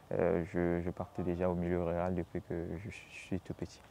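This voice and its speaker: A man's voice with a dark, mellow tone. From Congo-Brazzaville, Nkayi. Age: 20s. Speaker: agronomy student. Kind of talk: interview. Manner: halting, many fillers and repetitions.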